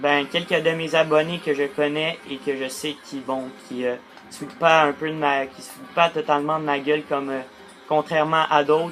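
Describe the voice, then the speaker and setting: Over music in the background, a man speaks in a monotone, with flat intonation and fairly high pitch. His loudness swings widely, and his pace is moderate. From Quebec, Portuguese heritage. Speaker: gaming youtuber. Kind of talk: casual vlog monologue. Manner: halting, many fillers.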